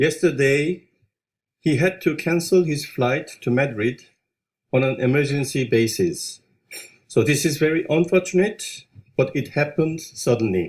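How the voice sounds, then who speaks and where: In a Korean accent, a man with a fairly high pitch speaks somewhat breathily at a fairly slow pace, with long, frequent pauses and ordinary pitch variation. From South Korea. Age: 50s. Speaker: business owner. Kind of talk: corporate presentation. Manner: halting.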